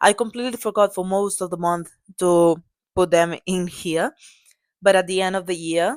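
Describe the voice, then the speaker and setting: A woman's fairly low-pitched voice with a non-native accent, at a moderate pace and with ordinary pitch variation. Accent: non-native English, self-described as bad. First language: Catalan. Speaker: book vlogger. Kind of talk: tutorial. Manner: halting; casual.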